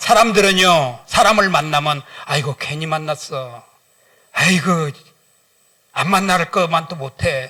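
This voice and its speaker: The voice is raised and projected, moving at a fairly slow pace. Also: man. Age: 60s. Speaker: guest pastor and businessman. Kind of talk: sermon. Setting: church service. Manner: animated.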